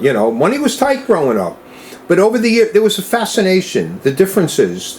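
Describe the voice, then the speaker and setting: Very wide pitch swings come through over noticeable background noise. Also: man. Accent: American. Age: 70s. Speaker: rare-coin dealer. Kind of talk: interview. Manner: conversational, with fillers.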